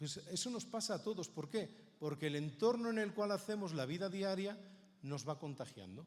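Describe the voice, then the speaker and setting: A man's fairly quick, lively speech with audible room echo. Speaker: Bible society speaker. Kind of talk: conference talk.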